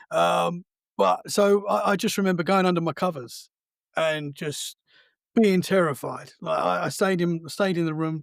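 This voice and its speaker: This man has an Essex accent and a high pitch, with ordinary pitch variation at a moderate pace. The sound is dry and close with no echo, and the recording is very clean over a silent background. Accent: southern English (Essex). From Essex, England. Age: 30s. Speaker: podcast host. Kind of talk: casual chat. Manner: halting.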